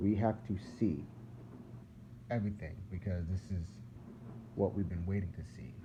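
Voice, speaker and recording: With long, frequent pauses at a moderate pace, a man talks in a fairly low pitch with a dark, mellow tone, ordinary pitch variation and a somewhat breathy sound. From US Northeast, Philadelphia. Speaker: religious video blogger. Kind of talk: casual religious monologue. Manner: rambling, repetitive.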